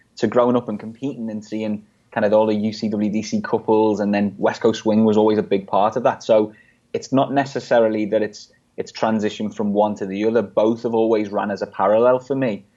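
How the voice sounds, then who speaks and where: Speaking with an American accent, a man has a fairly low pitch and a dark, mellow tone. His intonation is monotone and flat at a fairly quick pace, over a quiet background. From England, Liverpool. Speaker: dancer and DJ. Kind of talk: interview chat.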